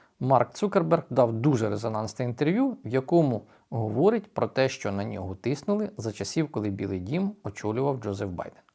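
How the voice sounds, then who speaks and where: Recorded very cleanly over a silent background, a man at medium pitch speaks at a moderate pace with very wide pitch swings. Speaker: news commentator, YouTube channel host. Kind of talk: news commentary monologue.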